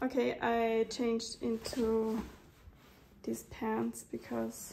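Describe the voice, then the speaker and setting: There is light background noise behind the woman who is talking. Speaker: vlogger. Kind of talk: casual vlog monologue. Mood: teary, emotional. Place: home room. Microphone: phone near.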